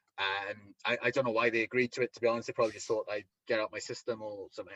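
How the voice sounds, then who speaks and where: Recorded with a dry, close sound and no echo, a man talks at a very fast pace in a strong Welsh accent. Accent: thick Welsh. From Wales. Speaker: professional wrestler and promoter. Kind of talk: interview. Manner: halting, many repetitions.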